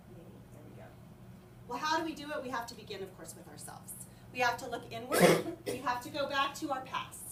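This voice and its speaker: Over noticeable background noise and audible room echo, a woman talks fairly quickly in a high pitch, her intonation lively and her loudness swinging widely. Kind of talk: presentation to staff.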